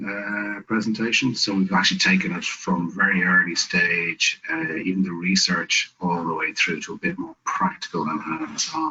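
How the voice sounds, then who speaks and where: A man with an Irish accent at a moderate pace. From Ireland. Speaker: business network director and investor. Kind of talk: webinar presentation.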